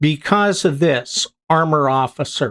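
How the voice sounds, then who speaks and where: The speaker talks at a very slow pace with a Pittsburgh accent. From US, Pittsburgh. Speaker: gaming youtuber. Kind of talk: gameplay commentary. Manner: casual, conversational with fillers.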